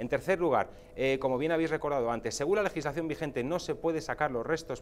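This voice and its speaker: A man with a fairly high pitch and ordinary pitch variation at a very fast pace, over light background noise. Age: 40s. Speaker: political commentator. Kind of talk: TV panel debate. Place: studio. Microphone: lapel.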